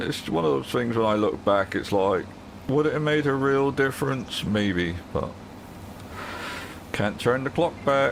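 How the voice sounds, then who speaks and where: There is noticeable background noise behind a man's lively intonation. He leaves long, frequent pauses. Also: medium pitch for a man. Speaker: gaming streamer. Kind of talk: live gameplay stream chat. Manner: loud.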